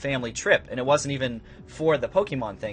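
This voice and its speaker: A man talks with music in the background. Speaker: gaming YouTuber. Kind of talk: casual storytelling to camera. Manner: fast.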